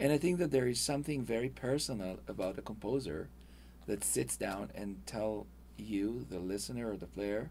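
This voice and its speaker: With vocal fry and very wide pitch swings, a man speaks in a fairly low pitch at a moderate pace. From Israel. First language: Hebrew. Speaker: video game composer. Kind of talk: interview. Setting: studio.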